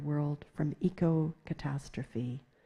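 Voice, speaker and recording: Very slowly, a woman speaks in a somewhat breathy voice with a dark, mellow tone. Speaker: poet. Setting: stage with audience.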